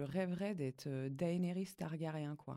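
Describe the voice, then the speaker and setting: A woman with a fairly low pitch speaks at a fairly slow pace, her intonation lively. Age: 30s. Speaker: tattoo artist. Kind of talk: casual interview. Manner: halting, many repetitions.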